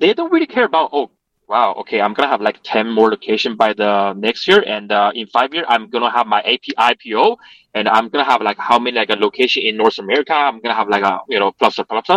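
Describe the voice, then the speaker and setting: Recorded with a dry, close sound and no echo, a man with a Chinese accent talks at a very fast pace. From Chongqing, China. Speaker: restaurant co-owner. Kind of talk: interview.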